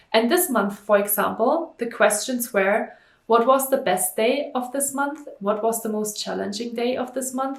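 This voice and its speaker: A woman speaks at a moderate pace and a fairly high pitch. Her pitch varies in an ordinary way. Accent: German. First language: German. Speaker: stress management coach, entrepreneur. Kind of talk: vlog monologue to camera. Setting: talking to camera.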